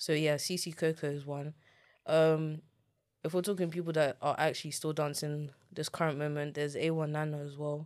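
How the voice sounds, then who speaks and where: In a London accent, a woman with a very deep, low pitch speaks at a moderate pace in a monotone, flat intonation, on a very clean recording with a silent background. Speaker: content creator and dance teacher. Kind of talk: interview. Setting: studio. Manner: blunt.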